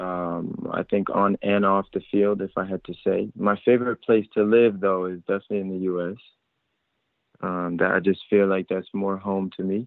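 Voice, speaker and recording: A speaker with an American accent talks at a moderate pace in a monotone, with flat intonation. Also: man, fairly low pitch for a man. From France (Paris) then United States. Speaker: professional soccer player. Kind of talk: interview. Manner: halting with many fillers.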